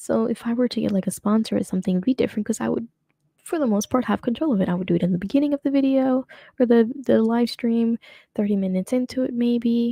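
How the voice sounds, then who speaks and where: A very fast-talking woman with a fairly high pitch and ordinary pitch variation. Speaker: streamer / commentary host. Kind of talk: casual live stream commentary. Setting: live stream. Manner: trips over words.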